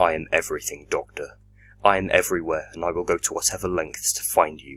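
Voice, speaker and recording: A man puts on a character voice. He talks at a very fast pace. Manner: menacing; calm and collected.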